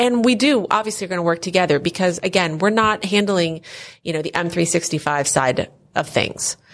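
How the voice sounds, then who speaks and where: A woman with an American accent, a plain, everyday voice, fairly low pitch, ordinary pitch variation and a fairly quick pace. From Philadelphia area, Pennsylvania. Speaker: software company owner. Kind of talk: casual interview. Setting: at a conference.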